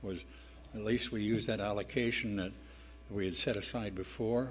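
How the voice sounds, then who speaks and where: A man's fairly low voice at a moderate pace with fairly even intonation, music in the background and audible room echo. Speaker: city council member. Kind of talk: council meeting discussion. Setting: council chamber. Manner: loud.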